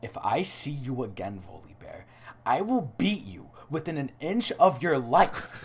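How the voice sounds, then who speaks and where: This is a put-on character voice full of growling, at a fairly slow pace. Its pitch swings very widely and its loudness swings a lot. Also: man, fairly high pitch for a man. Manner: threatening, growling.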